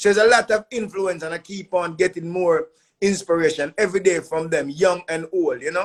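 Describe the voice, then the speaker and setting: A man with a Jamaican accent speaks in a high pitch, his intonation fairly even. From Jamaica, Spanish Town. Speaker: musician. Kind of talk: interview.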